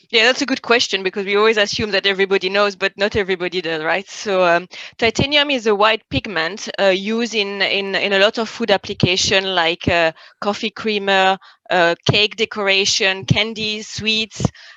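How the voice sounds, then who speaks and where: A woman with a French accent has a bright, sharp tone in a dry, close sound with no echo. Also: medium pitch for a woman, ordinary pitch variation, moderate pace. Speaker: industry expert, chemist. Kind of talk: interview. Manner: hesitant, many fillers.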